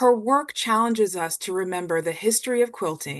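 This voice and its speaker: The speaker has a normal speaking voice. The pace is fairly slow. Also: woman, quiet background. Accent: American. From US South. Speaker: art history faculty, moderator. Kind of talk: scripted introduction.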